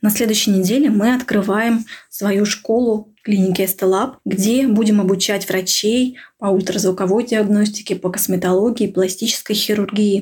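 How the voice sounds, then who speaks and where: Somewhat breathy and medium in pitch, a woman talks at a moderate pace with very even loudness and fairly even intonation. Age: 30s. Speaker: radiologist. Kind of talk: recorded monologue. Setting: remote recording.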